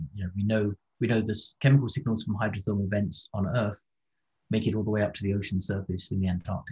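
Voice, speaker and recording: Very fast and somewhat breathy, the voice has a dark, mellow tone and fairly even intonation. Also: man, fairly low pitch for a man. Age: 50s. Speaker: ocean scientist. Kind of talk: interview.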